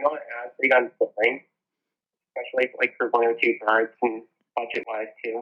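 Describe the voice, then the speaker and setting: Speaking at a fairly quick pace yet with long, frequent pauses, a man holds a medium pitch in a monotone, flat intonation. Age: 20s. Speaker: birder. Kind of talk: casual interview.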